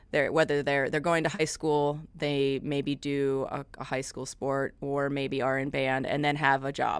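A woman's very deep, low voice at a fairly slow pace with hardly any pauses, in a very clean recording with a silent background. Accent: American. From US Midwest. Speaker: music professor. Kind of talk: casual chat.

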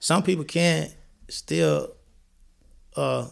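A man speaks with a Mississippi accent. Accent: Mississippi Southern US. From US South, Columbia, Mississippi. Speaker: guest sharing illness story. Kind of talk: testimony.

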